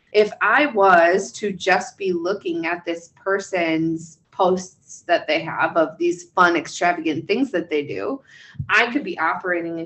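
Speaking at a fairly slow pace, a woman with an ordinary speaking voice has a fairly low pitch and ordinary pitch variation. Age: 30s. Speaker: licensed counselor and podcast co-host. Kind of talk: casual chat.

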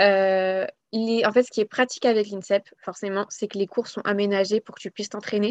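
Flat, monotone speech from a woman at medium pitch against a quiet background. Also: dry, close sound with no echo. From Paris, France. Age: 20s. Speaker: sports association founder and retail manager. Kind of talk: casual interview. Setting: podcast recording.

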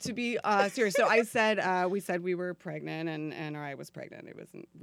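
Big swings in loudness mark a woman's voice as she speaks at a fairly quick pace. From Florida. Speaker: actress. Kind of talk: casual chat.

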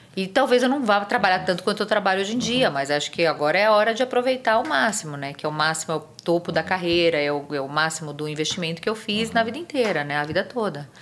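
This woman talks very fast with hardly any pauses, at a medium pitch. Her pitch swings very widely. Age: 50s. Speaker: physician. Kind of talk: interview.

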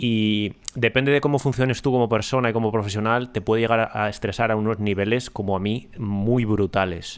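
A man speaks at medium pitch with hardly any pauses and very even loudness. The recording is very clean, with a silent background. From Ponferrada, Spain. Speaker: podcast host. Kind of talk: casual chat. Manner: hesitant, many fillers.

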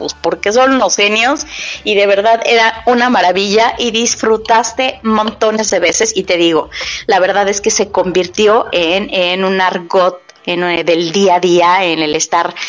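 Ordinary pitch variation at a fairly slow pace. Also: woman, medium pitch for a woman. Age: middle-aged. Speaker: podcast host. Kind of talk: casual chat. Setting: at home. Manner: animated.

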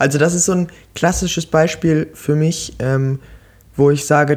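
A man speaks at a fairly high pitch and a moderate pace. His intonation stays fairly even. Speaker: podcast co-host, student. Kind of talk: casual chat. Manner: halting.

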